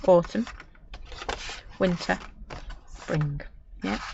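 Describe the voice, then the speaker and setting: Noticeable background noise sits behind a speaker with a Manchester accent. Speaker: crafter. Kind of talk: live craft tutorial. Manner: chatty, casual.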